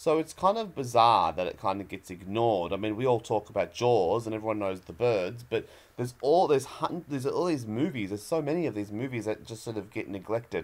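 With lively intonation, a man talks at a fairly quick pace, taking hardly any pauses. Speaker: guest. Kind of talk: interview answer.

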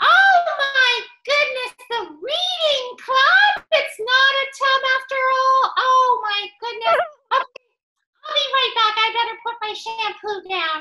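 A female-sounding cartoonish character voice sits at an extremely high pitch. The pace is fairly slow. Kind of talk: children's puppet show. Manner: upbeat, excitable.

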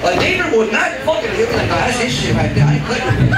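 Loud background noise and audible room echo surround this recording. A man with an American accent talks at a fairly quick pace. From Texas, Houston. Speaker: stand-up comedian. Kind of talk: stand-up. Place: stage.

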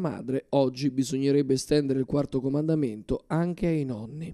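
Fairly high in pitch for a man, this voice has a dark, mellow tone and ordinary pitch variation. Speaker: news reporter. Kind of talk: TV news report narration. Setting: TV news segment.

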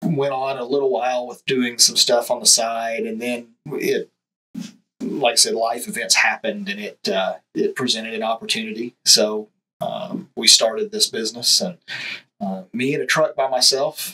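The speaking pace is moderate. Music runs in the background. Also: man. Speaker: guest. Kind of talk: interview answer. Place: studio. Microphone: studio mic.

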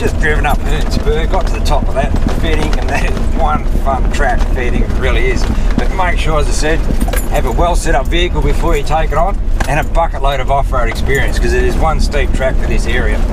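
Over loud background noise, a man speaks at a fairly quick pace in a dry sound with no echo. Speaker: 4x4 travel vlogger. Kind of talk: casual vlog chat. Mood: upbeat, relaxed. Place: car.

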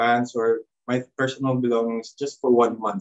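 Over a quiet background, a man with a Filipino accent speaks at a very slow pace and a medium pitch. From Philippines. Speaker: former missionary volunteer. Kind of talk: testimony. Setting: video call. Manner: halting. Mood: reflective, calm. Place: home room. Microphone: video call.

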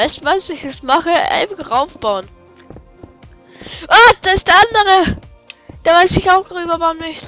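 Over music in the background, a woman with an extremely high pitch projects a raised voice, her intonation lively, her pace fairly slow and her pauses long and frequent. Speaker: gaming video creator. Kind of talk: casual gameplay commentary.

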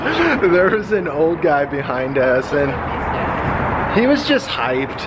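Loud background noise runs through the clip. Over it, a man talks. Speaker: vlogger. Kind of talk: casual vlog chat. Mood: amused, chatty. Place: garage. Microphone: phone near.

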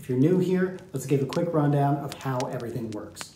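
A man talking fairly quickly, some echo from the room and faint noise in the background. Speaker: show host. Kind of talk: show host intro. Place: studio.

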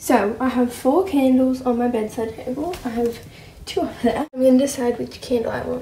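Light background noise and audible room echo surround this recording. A woman with a high pitch speaks at a moderate pace. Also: ordinary pitch variation. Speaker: vlogger. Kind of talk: casual vlog chat. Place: home room. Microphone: phone near.

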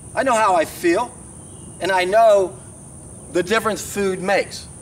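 Light background noise is present. A man speaks at a high pitch. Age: 60s. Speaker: raw vegan health vlogger. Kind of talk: monologue to camera. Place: open country.

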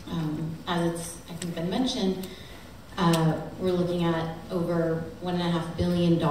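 Light background noise and audible room echo surround the recording. A woman speaks at a very slow pace. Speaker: politician. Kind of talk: speech at a teach-in panel. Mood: critical, persuasive. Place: hall. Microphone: camera far.

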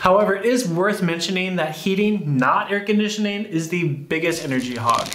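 Amid audible room echo and light background noise, a man with a high pitch and ordinary pitch variation talks at a fairly quick pace. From United States. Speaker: YouTuber. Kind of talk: scripted narration. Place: home room.

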